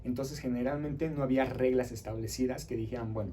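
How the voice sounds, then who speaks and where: A man speaks at a fairly quick pace in a somewhat breathy, dark and mellow tone with fairly even intonation, and audible room echo surrounds his voice. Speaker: teacher. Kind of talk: lecture. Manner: fast.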